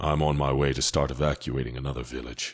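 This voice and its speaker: A man puts on a character voice that is raspy and very deep, in a flat monotone. He rattles along at a very fast pace. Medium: read story. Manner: somber.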